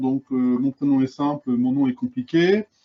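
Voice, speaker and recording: A man with a fairly high pitch. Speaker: independent consultant. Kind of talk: webinar presentation. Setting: video conference. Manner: loud.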